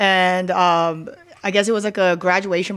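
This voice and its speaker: An unremarkable speaking voice from a woman with an American accent, fairly low in pitch, with fairly even intonation. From Philadelphia area, Delaware County. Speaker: bartender. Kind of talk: casual chat.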